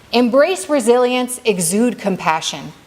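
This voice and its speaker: A woman speaks at a moderate pace with a non-native accent, her pitch high and her intonation lively. Noticeable background noise runs through the clip. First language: not Arabic. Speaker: community speaker at mosque banquet. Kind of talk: banquet speech. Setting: banquet hall with audience. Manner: halting, self-correcting.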